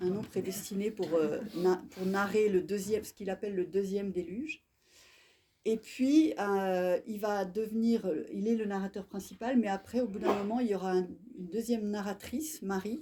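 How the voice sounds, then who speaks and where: Her voice has a dark, mellow tone at a medium pitch for a woman, with ordinary pitch variation and a moderate pace. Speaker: bookseller hosting author talk. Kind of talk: bookshop author interview. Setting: bookshop event with live audience. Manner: soft-spoken, can't speak louder; hesitant, many fillers.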